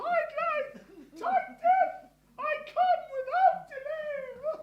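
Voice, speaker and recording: A woman's squeaky put-on character voice, extremely high in pitch, with very wide pitch swings and a very slow pace. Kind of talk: comic amateur melodrama. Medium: stage play. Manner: overwrought, melodramatic.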